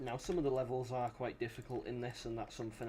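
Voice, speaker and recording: A man's somewhat breathy voice, dark and mellow in tone. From Britain. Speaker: game developer and streamer. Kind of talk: casual commentary while gaming on stream. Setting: livestream with voice chat. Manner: animated.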